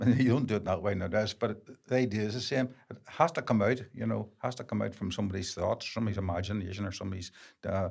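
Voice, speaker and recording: Vocal fry in a man's fairly low voice, at a very fast pace with ordinary pitch variation. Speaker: filmmaker. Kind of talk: interview answer.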